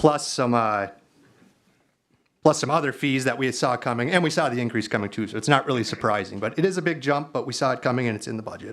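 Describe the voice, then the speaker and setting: A man speaks at a very fast pace. His pitch is medium, with ordinary pitch variation. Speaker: city council member. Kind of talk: council meeting.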